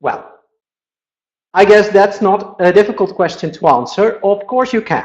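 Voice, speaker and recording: Speaking with a Dutch accent at a fairly slow pace, a man uses a high pitch with ordinary variation and leaves long, frequent pauses. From Netherlands. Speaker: Dutch language teacher. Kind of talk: webinar lecture. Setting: on vacation in Spain.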